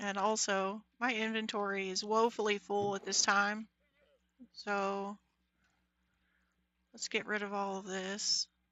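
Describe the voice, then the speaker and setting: A woman speaks quietly at a fairly slow pace with a medium pitch, a monotone, flat intonation and long, frequent pauses. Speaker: Minecraft livestreamer. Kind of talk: live gameplay commentary. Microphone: mic volume reported as bad.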